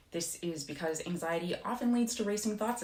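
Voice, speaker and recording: A woman speaks with lively intonation, and audible room echo can be heard. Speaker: youtuber talking about own anxiety. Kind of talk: informal explainer video. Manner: fast.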